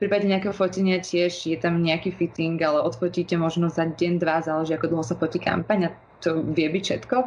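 Over noticeable background noise, a woman with fairly low pitch races along at a very fast pace with hardly any pauses and fairly even intonation. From Slovakia, Bratislava. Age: 20s. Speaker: fashion model and law student. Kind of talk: interview.

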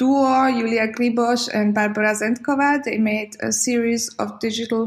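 A woman with a Slovak accent speaks in a fairly high, somewhat breathy voice at a fairly slow pace, with fairly even intonation. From Slovakia. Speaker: curator and graphic designer. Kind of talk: interview.

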